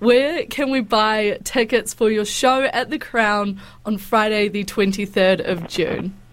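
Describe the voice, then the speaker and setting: A woman speaking at a very slow pace with hardly any pauses. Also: fairly high pitch for a woman, ordinary pitch variation. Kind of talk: radio interview. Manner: warm, enthusiastic.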